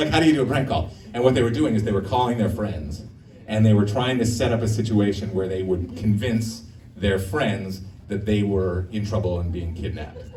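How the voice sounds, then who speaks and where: Noticeable background noise and audible room echo surround a man speaking at a fairly quick pace, fairly low in pitch with ordinary pitch variation. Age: 50s. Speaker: stand-up comedian. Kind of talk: stand-up. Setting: stage with audience.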